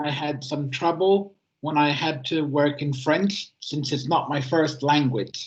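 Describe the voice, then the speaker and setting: Somewhat breathy, a man speaks at a fairly high pitch. He goes at a fairly slow pace. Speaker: easy-to-read editor, self-advocate. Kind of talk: prepared talk at a webinar. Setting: online webinar.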